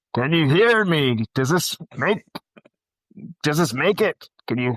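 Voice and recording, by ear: Using a put-on character voice, a man speaks at a fairly slow pace with a fairly high pitch and very wide pitch swings, in a dry, close recording with no echo.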